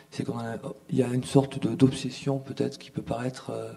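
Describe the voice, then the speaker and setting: A man's dark, mellow tone at medium pitch and a moderate pace. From southern France, Montpellier. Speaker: artist and filmmaker. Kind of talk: conference talk. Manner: halting.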